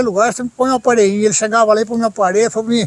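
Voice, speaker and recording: The sound is dry and close with no echo, though noticeable background noise comes through. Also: man. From Brazil, São Paulo–Minas Gerais border. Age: 60s. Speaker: sculptor and storyteller. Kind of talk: interview, casual storytelling.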